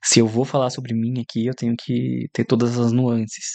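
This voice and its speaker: A man's medium-pitched, monotone voice with flat intonation against a quiet background. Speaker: podcaster. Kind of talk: personal monologue. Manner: halting.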